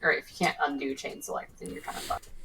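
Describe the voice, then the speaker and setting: A woman speaks at a fairly low pitch. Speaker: guest giving design feedback. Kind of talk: casual chat.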